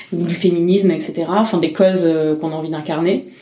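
Monotone, flat intonation carries this speech at a fairly quick pace. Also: woman. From Marseille, southern France. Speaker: drag king performer. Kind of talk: interview testimony. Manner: halting.

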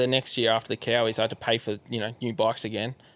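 This male speaker has an Australian accent. He talks very fast. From Australia, Yarra Valley east of Melbourne. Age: 20s. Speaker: pro enduro motorbike rider. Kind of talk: casual chat.

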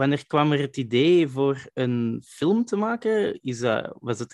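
A man of medium pitch speaks fairly slowly with lively intonation. The sound is dry and close with no echo, against a quiet background. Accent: Flemish. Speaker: podcast host. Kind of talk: interview.

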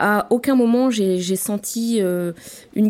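A dark, mellow tone with fairly even intonation. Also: woman. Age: 40s. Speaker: diversity officer. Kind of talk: testimony. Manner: halting.

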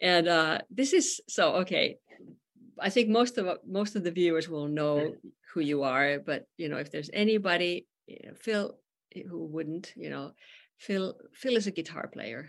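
Speaking fairly slowly in a Finnish accent, a woman has a fairly low pitch and lively intonation. Her loudness swings a lot. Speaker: podcast host and musician. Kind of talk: casual chat. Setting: video call.

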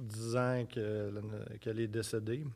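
A man's dark, mellow tone sits at a medium pitch with fairly even intonation. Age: 30s. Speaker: novelist. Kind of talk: casual chat.

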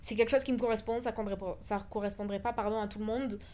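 Her intonation flat and monotone, the woman talks in a fairly high voice. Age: 20s. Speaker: podcast host. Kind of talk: personal monologue. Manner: casual with fillers.

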